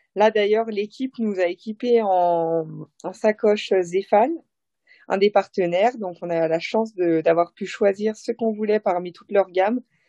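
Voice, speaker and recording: The dark, mellow voice moves at a fairly slow pace, recorded with a dry, close sound and no echo. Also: woman, medium pitch for a woman, ordinary pitch variation. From Haute-Savoie, French Alps. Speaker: professional cyclist. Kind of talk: interview. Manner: animated.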